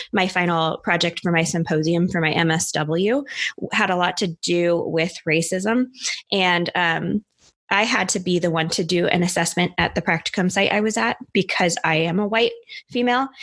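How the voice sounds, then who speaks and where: A woman speaks in a normal speaking voice, her pitch fairly low with ordinary variation, at a moderate pace and very even loudness. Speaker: podcast host. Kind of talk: casual chat about mental health.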